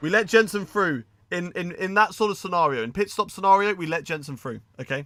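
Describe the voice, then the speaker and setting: A man with a British accent, high pitch, a bright, sharp tone, lively intonation and a fairly quick pace. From English Midlands. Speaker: video game streamer. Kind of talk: live gameplay stream commentary.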